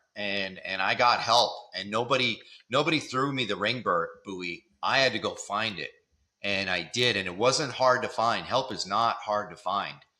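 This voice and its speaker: A man talks at a moderate pace with a medium pitch and ordinary pitch variation. His tone is bright and sharp. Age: 60s. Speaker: Marine veteran, nonprofit executive. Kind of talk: podcast interview. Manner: hesitant, with repetitions.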